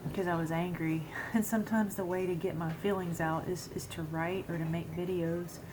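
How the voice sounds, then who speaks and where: Whispering quietly at a moderate pace, a woman is heard with audible room echo. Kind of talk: casual vlog monologue. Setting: at home at the computer. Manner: halting, many fillers.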